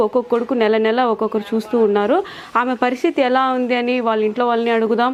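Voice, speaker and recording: A woman speaks at a fairly high pitch with fairly even intonation, and noticeable background noise runs behind her. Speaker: local news reporter. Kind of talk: news report intro to camera.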